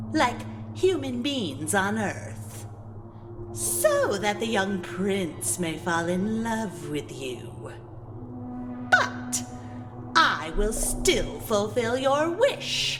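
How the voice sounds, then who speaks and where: Over loud background music, a put-on character voice at a middle pitch speaks at a very slow pace. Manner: slow, menacing.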